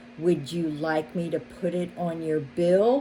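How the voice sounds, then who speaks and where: Over clear background noise, a woman puts on a character voice at a fairly low pitch, speaking at a fairly slow pace. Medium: read story.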